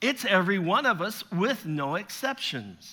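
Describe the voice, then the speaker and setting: A man speaks in a raised, projected voice at a high pitch and a fairly slow pace, with a bright, sharp tone and lively intonation. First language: French. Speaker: visiting pastor and preacher. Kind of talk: sermon. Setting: church.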